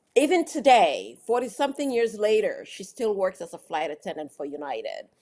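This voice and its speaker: Her fairly high, dark, mellow voice has vocal fry, very wide pitch swings and big swings in loudness as this woman talks at a fairly quick pace. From British-born, raised in Africa, Boston and Manhattan. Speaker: actress and producer. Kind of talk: interview answer. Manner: enthusiastic.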